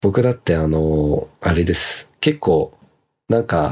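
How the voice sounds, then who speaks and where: A man's voice, very deep and low in pitch. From Japan, raised partly abroad (returnee). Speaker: cooking content creator and podcast host. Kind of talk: casual chat reading listener comments.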